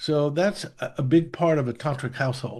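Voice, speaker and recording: A man speaks at a medium pitch in a dark, mellow tone. His voice is somewhat breathy, and the background is quiet. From US Northeast. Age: 70s. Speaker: meditation teacher. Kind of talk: casual interview conversation. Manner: halting, many fillers and restarts.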